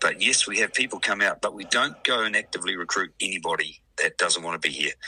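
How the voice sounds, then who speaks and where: A man with a New Zealand accent, speaking at a fairly quick pace. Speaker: rugby league club president. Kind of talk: radio interview.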